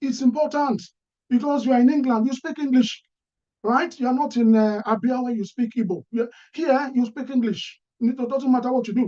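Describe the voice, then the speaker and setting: A man with an extremely high pitch and a dark, mellow tone speaks at a moderate pace with fairly even intonation. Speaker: career speaker. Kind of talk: talk.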